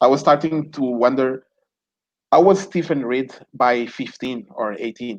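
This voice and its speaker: A man with a Portuguese accent at a medium pitch, a fairly slow pace and ordinary pitch variation. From Mozambique. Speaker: podcast host. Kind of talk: interview.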